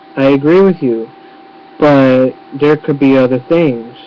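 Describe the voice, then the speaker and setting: At a fairly slow pace, a man with a fairly high pitch talks in fairly even intonation over noticeable background noise. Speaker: YouTuber. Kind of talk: webcam rant. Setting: webcam recording.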